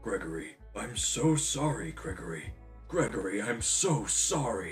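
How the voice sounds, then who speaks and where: Over clear music in the background, a man does a put-on character voice at a moderate pace. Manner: apologetic.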